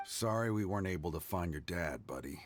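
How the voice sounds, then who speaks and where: A man uses a put-on character voice, raspy and very deep in pitch. He talks at a fairly quick pace with ordinary pitch variation. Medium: video game. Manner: formal, dutiful.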